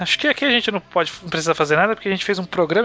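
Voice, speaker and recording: There is noticeable background noise. Through it, a man speaks with lively intonation. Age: 20s. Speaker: podcast host. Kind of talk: casual chat.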